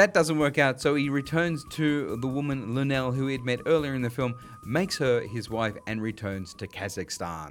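A man with an Australian accent speaks at a medium pitch with lively intonation and hardly any pauses, music in the background. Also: moderate pace. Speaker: podcast host, filmmaker. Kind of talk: casual film discussion; scripted narration.

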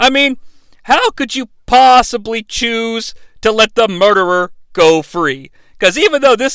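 Lively intonation in an unforced reading voice

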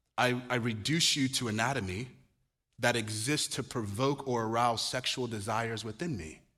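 The tone is bright, sharp and animated, with ordinary pitch variation. Delivery moves at a moderate pace broken by long, frequent pauses. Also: man. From Nigeria. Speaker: pastor. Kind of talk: sermon. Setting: church.

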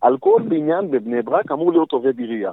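A man talks at a very fast pace. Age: 30s. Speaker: city council member and politician. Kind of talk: interview. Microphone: poor audio at times, earpiece.

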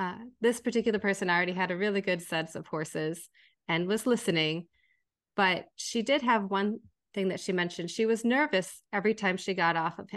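A woman's medium-pitched voice, an ordinary speaking voice, with ordinary pitch variation and a fairly quick pace against a quiet background. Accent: American. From Minnesota. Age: 40s. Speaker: equine relationship coach. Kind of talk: interview.

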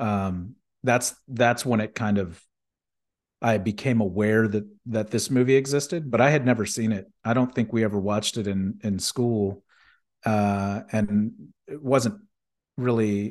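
This is an unremarkable speaking voice from a man with fairly low pitch. He talks fairly slowly, with fairly even intonation. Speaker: film podcast co-host. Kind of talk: casual chat.

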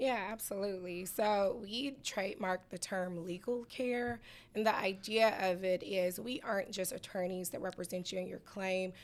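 A woman with an American accent and an ordinary speaking voice, medium in pitch, at a moderate pace with fairly even intonation. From US South, Atlanta, Georgia. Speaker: personal injury attorney. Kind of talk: interview. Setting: radio studio.

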